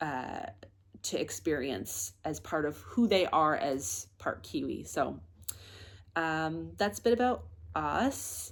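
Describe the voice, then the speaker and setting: A woman speaks in a relaxed tone with a Canadian accent. The recording is very clean, with a silent background. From Canada, Nova Scotia. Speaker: knitting podcaster and yarn shop owner. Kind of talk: casual vlog chat. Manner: relaxed, many filler ums.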